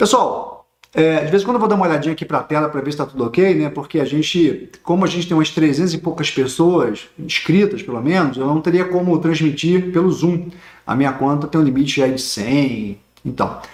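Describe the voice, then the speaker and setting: A man's fairly quick, fairly high-pitched speech in a Rio de Janeiro accent, with audible room echo. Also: ordinary pitch variation. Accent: Rio de Janeiro (carioca). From Rio de Janeiro, Brazil. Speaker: teacher of social security law. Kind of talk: online lecture. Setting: livestream on YouTube.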